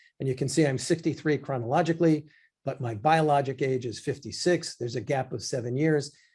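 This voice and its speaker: A man with a fairly high pitch and a dark, mellow tone speaks at a fairly quick pace, somewhat breathy. His intonation is fairly even, and the background is quiet. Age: 60s. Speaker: physician. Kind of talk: lecture. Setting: live online class.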